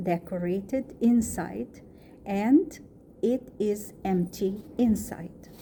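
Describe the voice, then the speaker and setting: At a very slow pace, a woman speaks at medium pitch in a dark, mellow, somewhat breathy tone with ordinary pitch variation. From Egypt. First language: Arabic. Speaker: student. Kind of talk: reading aloud.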